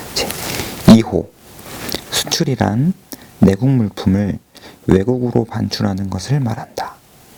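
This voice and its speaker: Over noticeable background noise, a man speaks quietly at a very slow pace. He leaves long, frequent pauses, and his pitch varies in an ordinary way. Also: fairly low pitch for a man. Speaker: government PR officer. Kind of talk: casual chat; reading aloud. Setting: empty office at dawn. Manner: quiet, ASMR-style.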